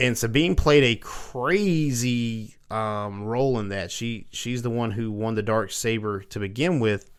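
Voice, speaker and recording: The recording is very clean, with a silent background. A man talks with a Southern US accent and ordinary pitch variation. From US South. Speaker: podcast host. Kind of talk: casual chat.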